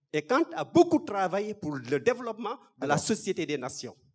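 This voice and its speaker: At a moderate pace, a man speaks against a quiet background. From Senegal. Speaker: audience member. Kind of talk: audience question. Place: hall.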